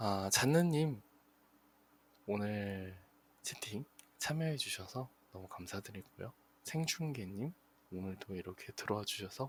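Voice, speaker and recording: Somewhat breathy, a man speaks at a fairly slow pace with long, frequent pauses, his fairly low voice rising and falling with lively intonation. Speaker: internet radio host. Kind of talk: live radio show sign-off. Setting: live streamed broadcast with chat.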